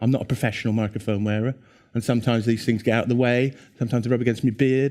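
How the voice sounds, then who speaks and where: A man talks at a very fast pace and medium pitch with an English accent. The recording is very clean, with a silent background. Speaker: conference speaker. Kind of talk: conference talk. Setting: stage with audience. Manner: animated.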